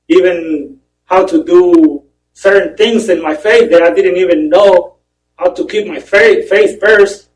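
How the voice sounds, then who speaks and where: A man with a high voice and a strong Spanish accent talks at a fairly slow pace, his pitch varying in an ordinary way. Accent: heavy Spanish. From Mexico. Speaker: prison inmate. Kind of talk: testimony. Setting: parole board hearing. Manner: halting.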